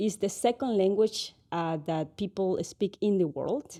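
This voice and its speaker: Over a quiet background, a woman with a Spanish accent speaks very slowly in a dark, mellow tone, with medium pitch and ordinary pitch variation. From Ecuador. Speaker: Spanish teacher and tourism business owner. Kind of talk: podcast interview. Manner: halting.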